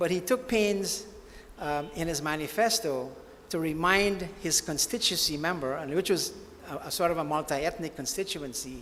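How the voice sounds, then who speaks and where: Moderate-paced, high-pitched male speech with lively intonation and audible room echo. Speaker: author and former history teacher. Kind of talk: book launch talk. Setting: banquet hall with audience. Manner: hesitant, many fillers.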